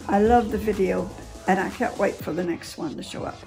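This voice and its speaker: The speaker keeps a moderate pace while music plays clearly in the background. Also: woman. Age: 80s+. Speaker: grandmother reacting to music videos; reactor. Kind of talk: casual reaction commentary to camera. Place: home room.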